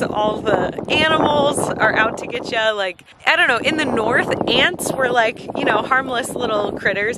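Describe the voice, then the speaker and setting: Ordinary pitch variation is heard in a dry sound with no echo, set against loud background noise. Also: woman. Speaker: travel vlogger. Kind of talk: casual vlog chat. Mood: cheerful, animated. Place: open country. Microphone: phone near.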